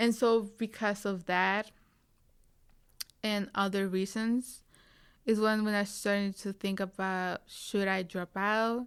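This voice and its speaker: In a Spanish accent, a woman speaks at a very slow pace with a medium pitch and a monotone, flat intonation. Her speech has long, frequent pauses. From Tijuana, Mexico. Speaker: recent university graduate. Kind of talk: interview. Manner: halting, many fillers.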